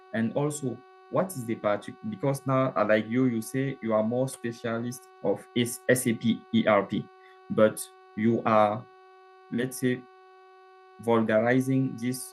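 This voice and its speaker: A man with a French accent speaks at a fairly slow pace with long, frequent pauses over noticeable background noise. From Cameroon. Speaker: participant asking questions. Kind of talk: Q&A in live online session. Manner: halting, many fillers.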